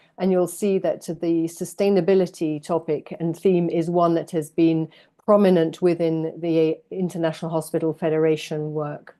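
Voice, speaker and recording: Monotone, flat intonation and a dark, mellow tone over a quiet background. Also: woman. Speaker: healthcare sustainability expert speaker. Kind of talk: webinar presentation.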